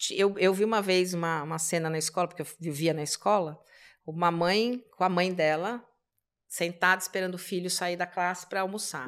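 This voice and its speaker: On a very clean recording with a silent background, a woman with a fairly low pitch speaks in a plain, everyday voice at a moderate pace with fairly even intonation. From Brazil, São Paulo. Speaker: immigration lawyer. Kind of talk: casual interview chat.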